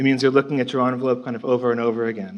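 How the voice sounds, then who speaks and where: The speaker is a man. He talks at a medium pitch. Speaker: architect presenting a project. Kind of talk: conference presentation. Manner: fast.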